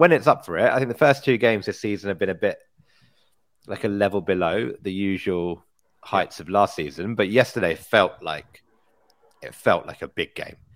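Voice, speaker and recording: A man with a plain, everyday voice speaks at a moderate pace, his pitch fairly low and his intonation lively. The recording is very clean, with a silent background. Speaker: football podcast co-host.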